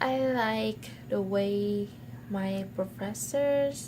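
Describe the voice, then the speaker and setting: A woman with a medium pitch talks amid audible room echo and noticeable background noise. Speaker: university student vlogger. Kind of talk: personal vlog.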